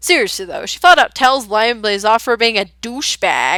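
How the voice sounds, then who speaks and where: Her voice is raised and projected, with a bright, sharp tone. She keeps a moderate pace in a very clean recording with a silent background and a dry, close sound with no echo. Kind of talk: audio rant about a book character. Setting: recorded on a headset. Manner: passionate.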